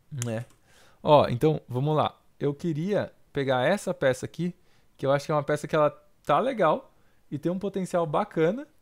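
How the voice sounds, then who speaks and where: The man's voice is fairly high, with ordinary pitch variation at a moderate pace. Long, frequent pauses break up his speech against a quiet background. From Brazil, São Paulo (Osasco); São Paulo, Brazil. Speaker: digital painter giving portfolio reviews. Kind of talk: livestream portfolio critique; live stream critique commentary. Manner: casual, hesitant with many fillers. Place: home room.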